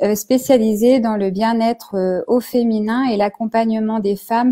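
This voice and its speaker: This woman has a dark, mellow tone and a fairly high pitch, speaking at a fairly slow pace with fairly even intonation. The sound is dry and close, with no echo. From Normandy, France. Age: 40s. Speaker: naturopath. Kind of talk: interview on a live stream. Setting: online live video. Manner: hesitant, many fillers.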